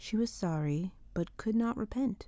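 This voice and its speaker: A woman speaks at a moderate pace in a gentle, calm, somewhat breathy voice with a dark, mellow tone and very wide pitch swings. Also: very clean recording, silent background. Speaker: audiobook reader. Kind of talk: gentle ASMR audiobook reading of a classic novel. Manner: gentle, calm, relaxing.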